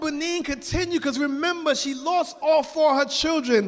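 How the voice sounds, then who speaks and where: Loud and extremely high-pitched, a man speaks with ordinary pitch variation. Noticeable background noise runs beneath him. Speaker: religious lecturer. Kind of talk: sermon.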